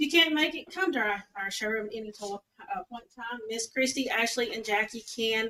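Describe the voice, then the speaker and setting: A woman speaks at a fairly high pitch and a fairly quick pace. Her pitch varies in an ordinary way. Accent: Southern US. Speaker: payroll and accounting staff, vendor presenter. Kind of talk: conference presentation. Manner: loud.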